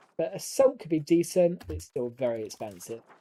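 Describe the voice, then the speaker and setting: Someone with an English accent talks at a fairly quick pace. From southern England. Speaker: gaming streamer. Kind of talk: live stream gameplay commentary. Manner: casual, chatty.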